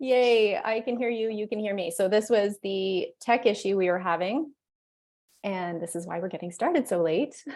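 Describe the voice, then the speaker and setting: A woman talks at a moderate pace in a medium pitch with ordinary pitch variation. She has an unremarkable speaking voice. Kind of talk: interviewer, casual video call.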